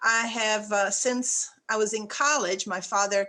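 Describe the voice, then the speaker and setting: Her tone is bright and sharp as this woman speaks with fairly even intonation. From Czechoslovakia, moved to US South at 14. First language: Czech. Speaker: real estate broker. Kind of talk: interview. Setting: podcast.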